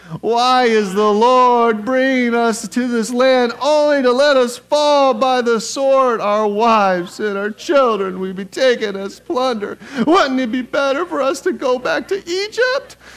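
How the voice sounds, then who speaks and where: Putting on a character voice at an extremely high pitch, a man speaks at a fairly slow pace with hardly any pauses. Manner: whiny, complaining.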